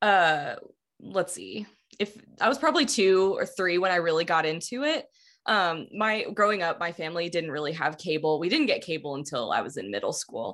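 A woman with an American accent has a normal speaking voice at medium pitch. She talks at a moderate pace with lively intonation. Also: very clean recording, silent background. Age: 20s. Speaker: podcast producer and co-host, guest. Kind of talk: casual chat.

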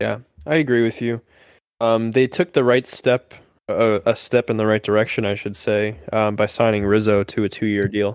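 A man with a normal speaking voice, fairly low in pitch and fairly even in intonation, at a moderate pace, in a dry, close sound with no echo and a very clean recording with a silent background. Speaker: sports podcast co-host. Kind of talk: casual chat.

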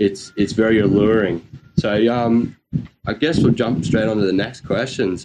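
Speaking at a moderate pace, a man with an Australian accent has a fairly low pitch and a dark, mellow tone. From North Queensland, Australia. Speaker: surf podcast host. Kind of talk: casual chat.

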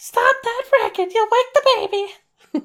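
The pitch is extremely high in a put-on character voice. The pace stays fairly slow. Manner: scolding.

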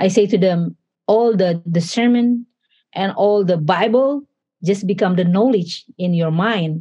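This voice is somewhat breathy and moves at a fairly slow pace. Its pitch variation is ordinary. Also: woman, medium pitch for a woman. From Indonesia (Manado). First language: Indonesian. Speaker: pastor. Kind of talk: interview. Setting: studio. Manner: halting.

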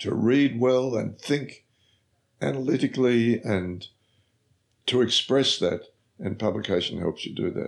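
A man speaks at medium pitch with an Australian accent. His pace is fairly slow, with long, frequent pauses. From Australia, Victoria. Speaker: former politician and professor. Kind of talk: interview. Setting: office. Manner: halting.

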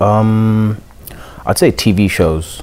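Noticeable background noise behind a man with fairly even intonation. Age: 20s. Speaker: rapper. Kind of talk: casual chat.

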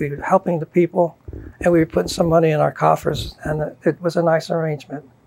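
Speaking at a very fast pace, a man with an American accent keeps his intonation fairly even. Noticeable background noise runs under his voice. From southeastern Pennsylvania. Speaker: retired lawyer. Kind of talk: oral history interview. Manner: halting.

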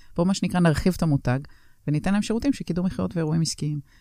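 Spoken at a very fast pace, the voice carries a dark, mellow tone. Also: woman. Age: 50s. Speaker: entrepreneur. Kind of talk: interview. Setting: studio.

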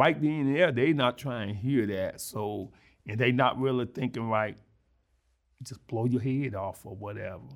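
With an American accent and an ordinary speaking voice, a man talks at a moderate pace and medium pitch, using ordinary pitch variation and big swings in loudness. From Mississippi, US South. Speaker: former prisoner and reentry program founder. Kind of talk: interview testimony.

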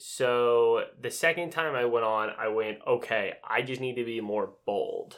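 This man speaks with an American accent at a fairly slow pace. He leaves hardly any pauses. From Utah, US. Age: 20s. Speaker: host's boyfriend. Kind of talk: casual chat.

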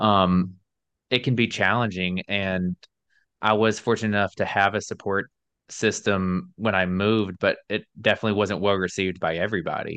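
In a normal speaking voice with an American accent, a man talks at a moderate pace and fairly low pitch, with fairly even intonation and very even loudness, the sound dry and close with no echo over a quiet background. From US South (Alabama). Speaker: podcast host. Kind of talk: casual interview chat.

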